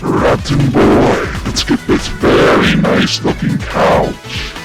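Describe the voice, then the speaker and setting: A put-on character voice speaks at a very slow pace. Loud music plays in the background. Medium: comedy sketch. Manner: gruff, bossy.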